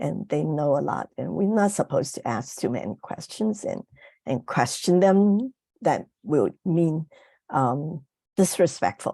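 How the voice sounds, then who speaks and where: A woman speaks at a fairly slow pace with a very deep, low pitch, very wide pitch swings, vocal fry and a dark, mellow tone. The sound is dry and close, with no echo. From Hong Kong. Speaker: parent advocate. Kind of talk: panel discussion. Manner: halting, many fillers.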